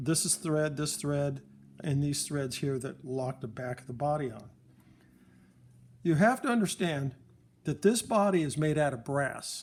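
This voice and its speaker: Somewhat breathy and fairly high in pitch, a man speaks at a fairly slow pace with ordinary pitch variation and long, frequent pauses. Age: 60s. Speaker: phonograph repairer. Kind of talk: tutorial. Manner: casual, rambling.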